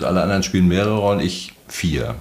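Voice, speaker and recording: A man speaks with a very deep, low pitch. Noticeable background noise and audible room echo surround the voice. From Mecklenburg, northeastern Germany. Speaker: harbour master and former sea captain. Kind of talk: casual interview. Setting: outdoors at the beach.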